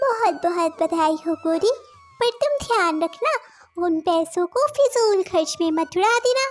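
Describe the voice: A cartoonish character voice swings very widely in pitch at a fairly slow pace and very even loudness. Music plays in the background. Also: woman, extremely high pitch for a woman.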